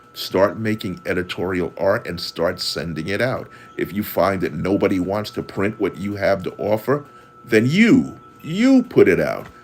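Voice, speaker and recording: Over music in the background, a man with an American accent speaks at a fairly slow pace. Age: 60s. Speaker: caricature artist and marketing consultant. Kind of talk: livestream tutorial talk. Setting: livestream. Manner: halting, repeats words.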